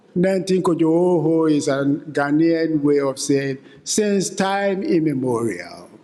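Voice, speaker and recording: A man talks with a fairly high pitch and very even loudness. Noticeable background noise is present. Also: ordinary pitch variation. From Ghana. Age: 70s. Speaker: philanthropy advisor and keynote speaker. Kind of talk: keynote speech.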